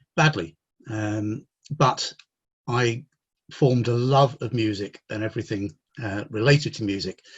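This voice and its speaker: This man sounds somewhat breathy. He speaks with an English accent. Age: 60s. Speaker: mental health consultant. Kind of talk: interview.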